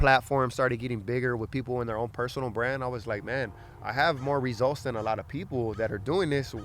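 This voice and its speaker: An American man with an American accent talks at a very fast pace with ordinary pitch variation. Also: medium pitch for a man. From Los Angeles area, California. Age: 20s. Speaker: fitness coach. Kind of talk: casual chat.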